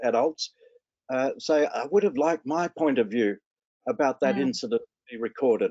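Against a quiet background with a dry sound and no echo, a man with an Australian accent speaks at a moderate pace with lively intonation. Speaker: care leaver advocate. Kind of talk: webinar panel discussion. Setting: video call. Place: home room. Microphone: video call.

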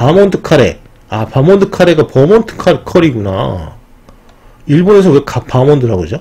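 A man's fairly high voice moves at a moderate pace, swinging very widely in pitch, with noticeable background noise behind him. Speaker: educational YouTuber. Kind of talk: casual commentary reading from screen. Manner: conversational, frequent fillers.

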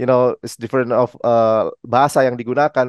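The recording has a dry sound with no echo as a man speaks at a fairly quick pace. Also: quiet background. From Indonesia. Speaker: music journalist and show host; music journalist, show host. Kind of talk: interview. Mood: friendly, relaxed. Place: home room. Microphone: headset.

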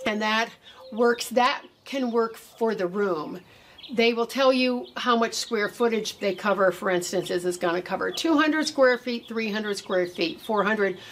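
The background carries light noise. A woman talks at a fairly slow pace. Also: lively intonation. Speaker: gardening channel host. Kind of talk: tutorial. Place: garden. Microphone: camera far.

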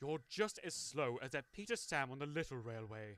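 Doing a hissing, put-on character voice, a man speaks at a medium pitch and a moderate pace with lively intonation. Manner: hissing, scornful.

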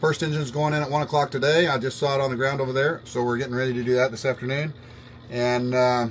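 A man talks at a very fast pace in a monotone, flat delivery. Light background noise runs underneath. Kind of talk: casual vlog chat. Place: boat. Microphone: phone near.

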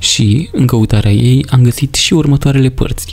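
Music plays in the background as a man speaks. His tone is calm and his pace moderate. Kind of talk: casual talk to camera. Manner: calm, expressive.

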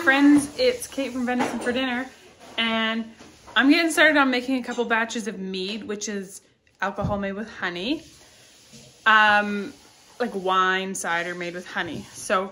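A woman's bright, sharp voice at a moderate pace, with long, frequent pauses and big swings in loudness. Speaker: homesteading vlogger. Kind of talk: casual vlog chat. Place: kitchen. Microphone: phone near.

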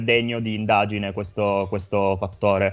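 A man talks at a fairly quick pace and a fairly low pitch. His intonation is monotone and flat. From Italy, Turin; Italy. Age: 20s. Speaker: healthcare worker; guest. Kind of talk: testimony. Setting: remote link into radio studio. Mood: calm, serious. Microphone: video call.

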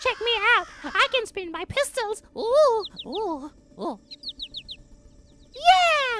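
In a put-on character voice, a female-sounding speaker talks at an extremely high pitch and a very slow pace, with long, frequent pauses. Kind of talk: comic overacting, deliberately bad. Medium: voice reel. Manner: hyper, cheeky, silly.

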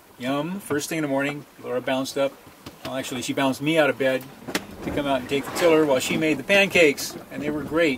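A man's very fast, fairly even-toned speech over noticeable background noise. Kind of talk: casual vlog chat. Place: boat. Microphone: phone near.

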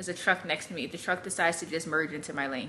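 A woman's fairly low pitch and bright, sharp tone at a fairly quick pace, over light background noise. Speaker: vlogger. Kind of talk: casual vlog chat. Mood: exasperated, amused. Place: home room. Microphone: phone near.

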